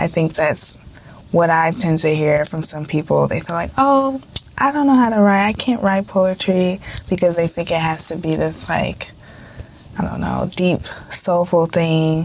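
A woman talks at a fairly slow pace over noticeable background noise. Her fairly low voice has lively intonation. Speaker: podcast co-host and poet. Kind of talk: casual interview.

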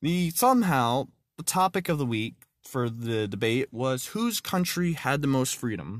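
Speaking fairly slowly at a medium pitch, a man uses lively intonation on a very clean recording with a silent background. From Texas. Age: 20s. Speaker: podcast host. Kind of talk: religious talk podcast. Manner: halting.

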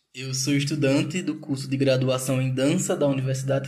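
With a strong Northeastern Brazilian accent, a man speaks at a moderate pace in a fairly high, somewhat breathy voice that stays flat and monotone. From interior of Pernambuco, Brazil. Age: 20s. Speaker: podcast co-host, dance student. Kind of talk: casual podcast intro.

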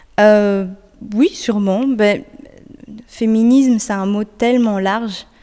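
Speaking very slowly with long, frequent pauses, a woman keeps a fairly high pitch and fairly even intonation. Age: young. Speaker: singer-songwriter. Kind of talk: interview. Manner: hesitant.

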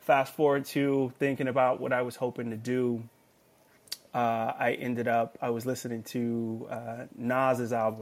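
The speech comes at a fairly slow pace with an American accent. Its intonation is monotone and flat. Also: man, medium pitch for a man. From Los Angeles, California. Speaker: vacation rental host and music producer. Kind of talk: casual interview chat.

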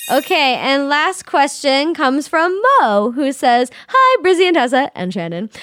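Over music in the background, a woman with a high pitch speaks fairly slowly, with very wide pitch swings and hardly any pauses. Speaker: podcast co-host. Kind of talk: casual chat.

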